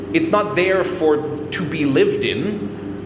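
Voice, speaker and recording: There is noticeable background noise and audible room echo. A man is the one talking. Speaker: vlogger. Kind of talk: casual vlog monologue. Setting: laundry room with echo. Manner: loud. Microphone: echoey room reverb.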